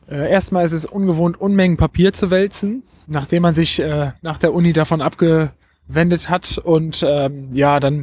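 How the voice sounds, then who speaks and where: A man's high pitch with fairly even intonation. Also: dry, close sound with no echo. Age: 20s. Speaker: trainee special education teacher and youth fire brigade leader. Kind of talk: interview. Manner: hesitant, many filler sounds.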